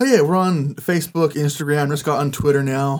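Speaking with an American accent, a man uses fairly even intonation at a fairly high pitch. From California Central Valley. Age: 20s. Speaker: former mayoral candidate. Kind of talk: interview.

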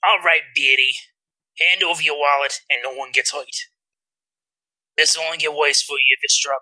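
Putting on a character voice with a strong New York accent, a man speaks raspily at a fairly high pitch and fairly quick pace, with long, frequent pauses. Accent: thick New York. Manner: menacing, threatening.

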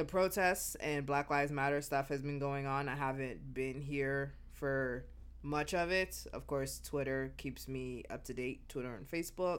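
A woman talks at a fairly slow pace with hardly any pauses. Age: 30s. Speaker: podcast host and flight attendant. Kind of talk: casual solo monologue. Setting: at home.

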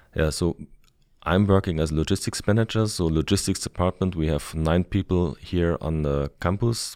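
Recorded very cleanly against a silent background, with a dry, close sound and no echo, a man speaks at a moderate pace with a very deep, low pitch. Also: ordinary pitch variation. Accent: German. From Germany. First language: German. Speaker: logistics manager. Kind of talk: interview.

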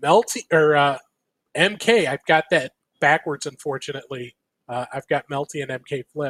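Heard in a dry, close sound with no echo, a man talks in a normal speaking voice at a fairly high pitch, with ordinary pitch variation and a moderate pace. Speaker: podcast host. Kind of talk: casual chat.

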